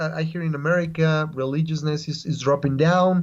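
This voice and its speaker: This man speaks with a Spanish accent. His pitch is fairly high and his pace moderate. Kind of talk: casual interview. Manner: halting, repetitive; lively.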